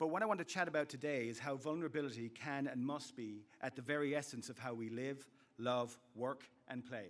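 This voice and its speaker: A man with an Irish accent speaks fairly quickly at a fairly high pitch, with ordinary pitch variation. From west of Ireland, County Clare. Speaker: commencement speaker, university instructor. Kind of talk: commencement speech. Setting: stage with audience.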